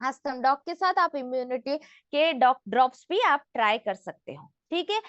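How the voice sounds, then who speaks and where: Her intonation lively, a woman speaks. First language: not Hindi (speaking Hindi). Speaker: health product trainer. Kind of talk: training session. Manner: interactive, asks audience questions.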